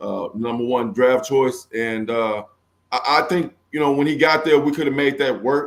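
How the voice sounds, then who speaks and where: A man with an American accent speaks at a moderate pace and a fairly high pitch. His pitch varies in an ordinary way, and he has an unremarkable speaking voice. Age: 50s. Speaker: former football player. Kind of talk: interview.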